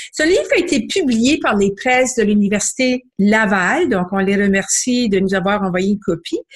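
Her pitch rises and falls very widely. A woman keeps a moderate pace. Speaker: book club founder, book reviewer. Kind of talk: book review segment.

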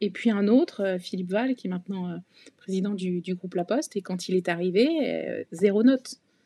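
A woman's dark, mellow voice at medium pitch and moderate pace, with ordinary pitch variation and a dry, close sound with no echo. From Paris region, France. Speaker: bank executive. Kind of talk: casual interview. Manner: hesitant, many fillers.

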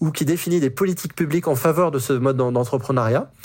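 Pitch varies in an ordinary way here. The pace is fairly quick. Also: man. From France, Brittany. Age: 40s. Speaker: nonprofit program director, engineer. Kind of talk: testimony. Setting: remote recording from home office. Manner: hesitant, with frequent fillers and repetitions.

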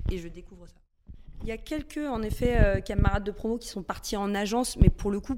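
Her pace is fairly quick. The woman's pitch moves in an ordinary way. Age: 30s. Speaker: communications director. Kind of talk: interview. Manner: hesitant with fillers.

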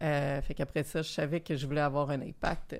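In a very clean recording with a silent background, a woman talks in a very deep, low voice with monotone, flat intonation. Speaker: startup founder, former lawyer. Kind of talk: casual panel discussion. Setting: studio.

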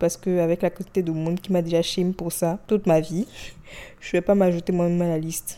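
The woman's fairly low voice has a dark, mellow tone and monotone, flat intonation. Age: 20s. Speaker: solo podcast host. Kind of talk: personal monologue.

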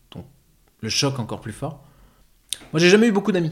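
This man talks at a fairly quick pace with a fairly high pitch. His intonation is lively. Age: 30s. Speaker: actor and life coach. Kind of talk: testimony.

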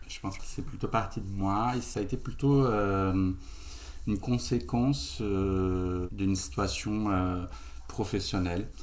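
The speech moves at a very slow pace with ordinary pitch variation. Audible room echo surrounds it. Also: man, fairly low pitch for a man. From Brazil. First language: Portuguese (speaking French). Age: 30s. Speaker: co-founder of an ethical e-commerce platform. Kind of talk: casual interview.

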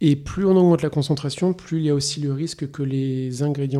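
A man talks at a fairly quick pace in a fairly high pitch. His tone is dark and mellow. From France, Poitou region. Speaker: perfume house founder. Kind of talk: interview. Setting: office. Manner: halting.

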